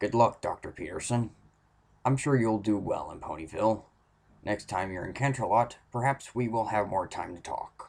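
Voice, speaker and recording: A man in a put-on character voice speaks with ordinary pitch variation and big swings in loudness. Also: medium pitch for a man, moderate pace. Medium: read story. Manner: formal, courteous.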